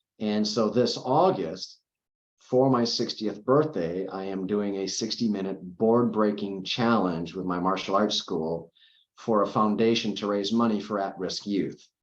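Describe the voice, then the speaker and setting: A man uses a plain, everyday voice at a fairly low pitch, keeping his intonation fairly even. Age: 50s. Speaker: cancer survivor and CBD advocate. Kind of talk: interview. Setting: podcast recording.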